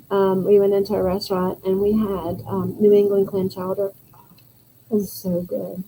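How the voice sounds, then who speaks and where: A woman speaks at medium pitch with a Southern accent. Her intonation is monotone and flat, and her pace is moderate. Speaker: yarn business co-owner and livestream co-host. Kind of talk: casual chat.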